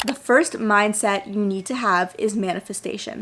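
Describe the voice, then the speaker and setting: Over noticeable background noise, a woman talks at a fairly slow pace. Her tone is animated and her pitch fairly high. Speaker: self-development YouTuber. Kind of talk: casual vlog-style talk to camera.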